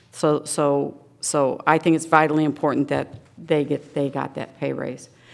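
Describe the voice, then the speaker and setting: Speaking at a moderate pace, a woman uses a very deep, low pitch with vocal fry and monotone, flat intonation. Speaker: senior services nonprofit director. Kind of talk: public meeting presentation. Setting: township board meeting.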